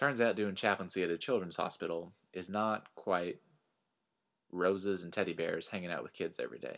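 In a very clean recording with a silent background, a voice with a Texan accent moves at a moderate pace with fairly even intonation. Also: man, very deep, low pitch for a man. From Texas Panhandle. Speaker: minister and podcast host. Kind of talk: personal storytelling monologue.

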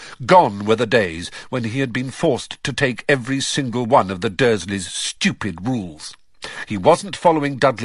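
A passage is read out loud in a natural voice, the pitch moving in a normal way.

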